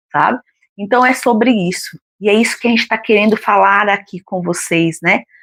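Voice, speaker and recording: In a dry, close sound with no echo, a woman with an ordinary speaking voice talks at a moderate pace, her pitch medium with ordinary variation. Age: 50s. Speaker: retired co-host. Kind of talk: casual book discussion live stream.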